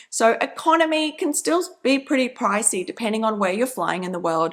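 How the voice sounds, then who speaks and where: With an Australian accent, a woman speaks at a moderate pace in a fairly high pitch, her tone enthusiastic and her pitch swinging very widely. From Australia (Brisbane). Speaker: travel rewards YouTuber. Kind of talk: channel intro vlog.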